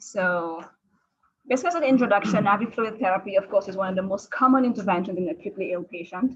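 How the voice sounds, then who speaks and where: A woman at medium pitch speaks at a very fast pace, with ordinary pitch variation. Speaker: critical care fellow physician. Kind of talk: lecture.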